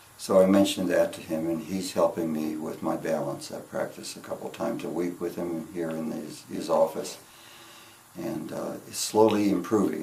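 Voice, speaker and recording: Room echo can be heard around a man's voice, and the background noise is clearly noticeable. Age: 70s. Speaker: patient. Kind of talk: testimony. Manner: halting.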